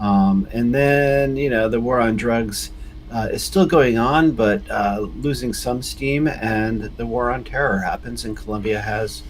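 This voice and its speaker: A man with an American accent talks at a fairly slow pace, with audible room echo. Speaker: US foreign policy expert. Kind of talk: interview.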